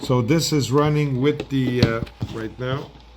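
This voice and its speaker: A man with a fairly high pitch and ordinary pitch variation talks in a room with audible echo. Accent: French. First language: French. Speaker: product seller. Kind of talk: product demo. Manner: halting.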